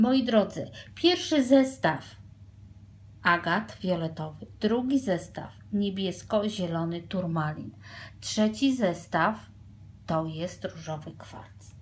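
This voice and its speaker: A woman's somewhat breathy voice at a very slow pace, with very wide pitch swings and big swings in loudness. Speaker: tarot reader. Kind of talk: tarot reading to viewers. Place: home room. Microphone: phone near.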